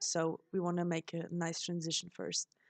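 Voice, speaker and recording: In a German accent, a woman speaks at a fairly slow pace with a fairly low pitch, the sound dry and close with no echo. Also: quiet background. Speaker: beauty vlogger. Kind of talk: makeup tutorial voiceover. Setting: voiceover recording.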